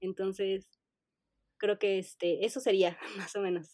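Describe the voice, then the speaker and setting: This is a woman speaking. She has a Mexico City accent. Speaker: information architect. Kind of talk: interview. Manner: hesitant, many fillers.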